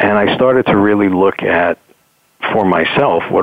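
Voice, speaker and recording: This is a man speaking. He has an American accent. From New York City. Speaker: executive coach. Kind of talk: interview.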